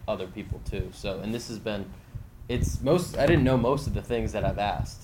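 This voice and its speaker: Amid noticeable background noise and audible room echo, a man talks at a moderate pace, fairly low in pitch and lively in intonation. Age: 20s. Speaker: podcast host. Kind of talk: podcast intro monologue; casual interview. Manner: hesitant with many fillers.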